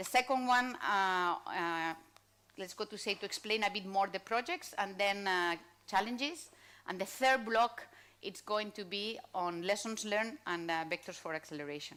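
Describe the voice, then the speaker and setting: A woman's medium-pitched voice with a Spanish accent, a bright, sharp tone, ordinary pitch variation and a moderate pace, on a very clean recording with a silent background. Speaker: panel moderator. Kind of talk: panel moderation. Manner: halting, many fillers.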